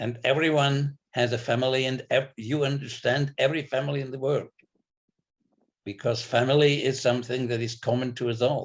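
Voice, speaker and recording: Somewhat breathy, a man speaks at medium pitch and a moderate pace with monotone, flat intonation. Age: 70s. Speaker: novelist. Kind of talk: interview. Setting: video call. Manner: halting.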